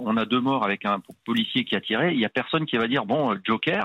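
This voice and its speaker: A man's medium-pitched voice moves with lively intonation. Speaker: police commissioner. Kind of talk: radio discussion, commentary. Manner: hesitant, repeats words.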